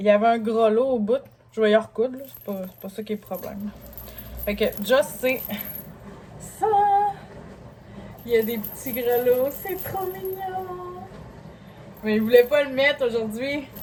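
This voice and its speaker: With a Quebec accent, a woman speaks at a fairly slow pace and a fairly high pitch, using ordinary pitch variation, long and frequent pauses, and big swings in loudness against noticeable background noise. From Lévis, Quebec. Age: 30s. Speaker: single mother vlogger. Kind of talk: casual haul vlog talk to camera.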